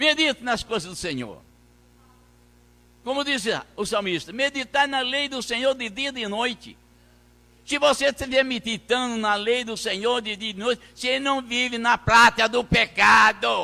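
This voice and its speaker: At a moderate pace, a man raises and projects his extremely high voice, its tone bright and sharp, with ordinary pitch variation and long, frequent pauses. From Brazil, Minas Gerais. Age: 80s+. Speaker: pastor. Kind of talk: sermon. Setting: church. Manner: halting.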